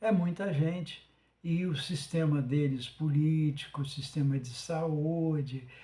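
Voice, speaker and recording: A man talks at a very slow pace. His voice has a dark, mellow tone and a fairly high pitch. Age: 70s. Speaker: podcast host. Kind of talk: monologue. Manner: halting, many fillers.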